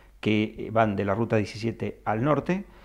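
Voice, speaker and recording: The background stays quiet. A man does the talking. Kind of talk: interview answer. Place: office. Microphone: handheld.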